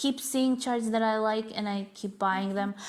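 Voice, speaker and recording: Fairly slow and with ordinary pitch variation, a woman's voice comes through. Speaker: cross-stitch YouTuber. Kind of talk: casual video chat, show and tell. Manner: hesitant with fillers.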